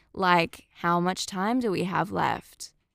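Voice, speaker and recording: Someone with an Australian accent speaks very slowly in a very clean recording with a silent background. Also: woman. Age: 20s. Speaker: podcast host. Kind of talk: casual monologue.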